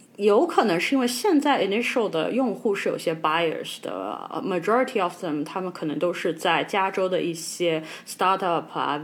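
Over noticeable background noise, a woman talks at a fairly slow pace with lively intonation and hardly any pauses. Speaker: podcast co-host. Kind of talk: casual chat.

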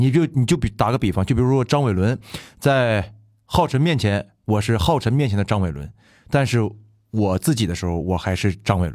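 With lively intonation and a fairly quick pace, a man speaks in a normal speaking voice at a fairly low pitch, in a very clean recording with a silent background. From Fushun, Liaoning, northeast China. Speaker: musical theatre actor, guest co-host. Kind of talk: casual interview chat.

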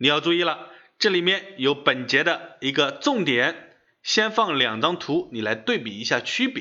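A man's high voice at a fairly slow pace, with very wide pitch swings. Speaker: online finance course instructor. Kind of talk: scripted lecture. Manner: measured, with deliberate pauses.

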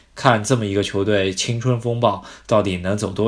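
Audible room echo carries a man's fairly low voice with fairly even intonation. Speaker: football podcast host. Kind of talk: casual chat.

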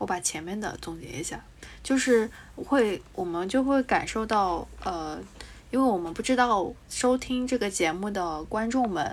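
A woman with an ordinary speaking voice talks at a fairly slow pace, her medium pitch carried by lively intonation. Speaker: podcast co-host. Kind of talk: casual chat.

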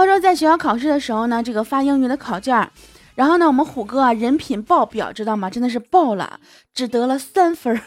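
Her pitch is high and her intonation lively. This woman talks at a fairly quick pace in an animated tone. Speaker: podcast host. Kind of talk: casual comedic monologue. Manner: animated, frequent laughter.

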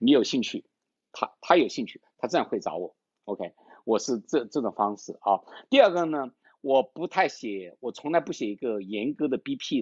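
At a moderate pace, a man speaks at medium pitch with very wide pitch swings and big swings in loudness. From China, Changsha, Hunan. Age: 50s. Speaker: tech startup founder and CEO. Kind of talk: interview, casual conversation. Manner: hesitant, many fillers.

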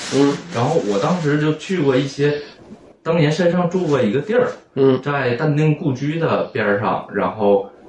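A man with a strong Northeastern Chinese accent talks at a fairly slow pace in a fairly high pitch, with lively intonation and noticeable background noise. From Northeast China, Anshan. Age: 30s. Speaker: painter. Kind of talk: casual interview chat. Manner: shy, hesitant.

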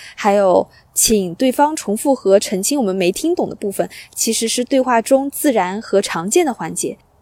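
A woman speaks at a moderate pace in a fairly high pitch with a dark, mellow tone. Her pitch swings very widely, and the sound is dry and close with no echo. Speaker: podcast host. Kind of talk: solo monologue. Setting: outdoors by a lake.

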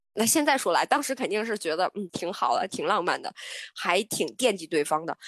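A woman speaks at a fairly quick pace, her pitch swinging very widely. The sound is dry and close with no echo, over a quiet background. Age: 30s. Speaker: travel planner. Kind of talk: casual chat.

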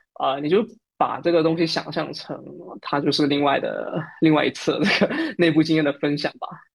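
Over a quiet background, a man talks at a moderate pace with a southern Chinese accent. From Fujian, southern China. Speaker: Android developer and podcaster. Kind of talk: casual interview chat.

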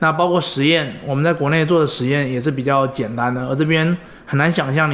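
With audible room echo, a man speaks fairly quickly at a fairly high pitch, keeping his intonation fairly even. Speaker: former scholarship student, recent engineering graduate. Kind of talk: interview conversation. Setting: at home.

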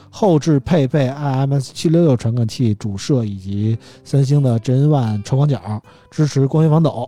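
Using a plain, everyday voice, a man talks at a moderate pace and medium pitch with ordinary pitch variation. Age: 40s. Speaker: podcast host. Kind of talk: casual chat; reading out phone specs.

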